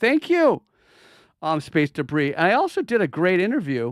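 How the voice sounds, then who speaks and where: A man speaks in a very clean recording with a silent background. The sound is dry and close, with no echo. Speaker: crypto market analyst. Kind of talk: live stream market analysis. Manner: fast; animated.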